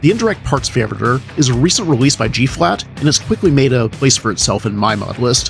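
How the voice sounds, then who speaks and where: Music plays behind a man who speaks very fast with lively intonation. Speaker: game modder. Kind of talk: gaming video narration.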